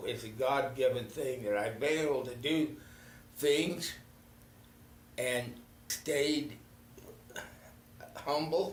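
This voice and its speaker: There is audible room echo as a man with a fairly high pitch speaks at a very slow pace with ordinary pitch variation. He leaves long, frequent pauses. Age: 80s+. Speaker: retired local politician. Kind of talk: casual interview. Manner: halting.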